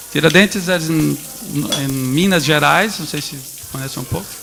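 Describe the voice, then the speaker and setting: Noticeable background noise fills the recording. The man's fairly high voice moves at a moderate pace with ordinary pitch variation. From Brazil, Northeast. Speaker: photo book editor. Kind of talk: talk to an audience. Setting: stage with audience at a photo book festival. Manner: halting, with repetitions.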